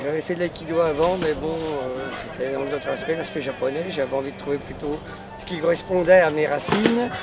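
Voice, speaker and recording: Music plays in the background while a man talks. His pitch is fairly high and his pace is moderate. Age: 70s. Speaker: martial arts club member. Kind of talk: testimonial.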